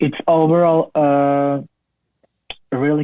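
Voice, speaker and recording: A man with a Slovak accent, his intonation fairly even and his pace very slow. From Slovakia. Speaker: cancer survivor and PhD student. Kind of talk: interview. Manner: halting.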